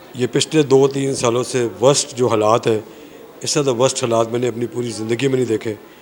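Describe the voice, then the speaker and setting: Over noticeable background noise, a man speaks at a moderate pace in a monotone, flat intonation. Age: 60s. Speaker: shop owner. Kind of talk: street interview.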